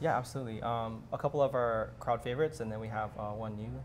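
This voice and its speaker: Light background noise runs under a man talking very fast. His voice is somewhat breathy. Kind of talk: interview answer. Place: cafe.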